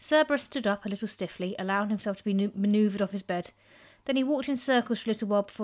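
Pitch rises and falls in an ordinary way as an unforced reading voice goes on.

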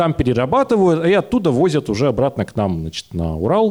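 A man is speaking. He has a dark, mellow tone. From Russia, Urals (Yekaterinburg area). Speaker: nuclear science popularizer, engineer. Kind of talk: live talk show panel. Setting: stage with audience.

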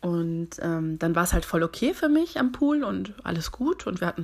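At a moderate pace, a woman speaks at a medium pitch, her voice swinging very widely up and down. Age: 20s. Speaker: podcast host. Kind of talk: casual chat. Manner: animated.

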